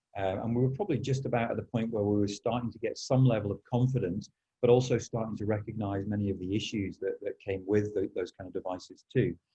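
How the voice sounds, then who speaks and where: Very fast speech in a dark, mellow, somewhat breathy tone with fairly even intonation. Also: man, medium pitch for a man. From northern England. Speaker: school podcast host. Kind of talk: podcast interview. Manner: halting.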